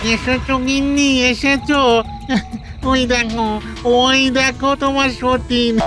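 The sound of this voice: Over loud background music, a cartoonish character voice speaks at a high pitch and a very slow pace.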